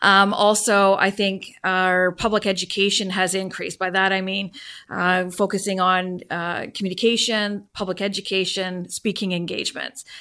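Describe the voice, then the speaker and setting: A woman in a Canadian accent, medium-pitched with a bright, sharp tone, flat monotone delivery and hardly any pauses. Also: moderate pace, very clean recording, silent background. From Vancouver, Canada. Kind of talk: interview. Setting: studio. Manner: measured with frequent fillers.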